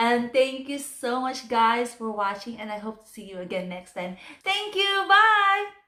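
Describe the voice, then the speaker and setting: A woman speaks in a raised, projected voice at a high pitch, her pitch swinging very widely. She keeps a moderate pace over noticeable background noise. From Philippines. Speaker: vlogger. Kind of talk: casual vlog talk.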